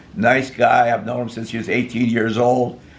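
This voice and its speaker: Audible room echo around a man's voice, medium in pitch and moderate in pace. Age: 80s+. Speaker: rocket builder and stuntman. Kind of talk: casual interview. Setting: at his home.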